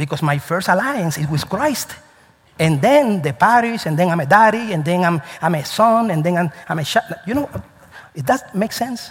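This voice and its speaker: A man with a Spanish accent speaks at a moderate pace in a high, animated voice with very wide pitch swings. Noticeable background noise is present. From Cuba. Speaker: pastor. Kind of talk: sermon. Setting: church.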